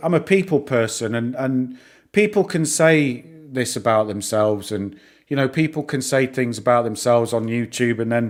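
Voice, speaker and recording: On a very clean recording with a silent background, a man with a northern English accent speaks at a medium pitch. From northern England. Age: 40s. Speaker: YouTuber discussing stocks. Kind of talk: live stream chat. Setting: live stream. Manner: halting, many repeats and fillers.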